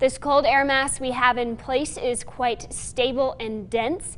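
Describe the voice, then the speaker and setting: Over noticeable background noise, a woman with a high-pitched voice speaks at a fairly slow pace. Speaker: TV meteorologist. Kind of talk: TV weather forecast.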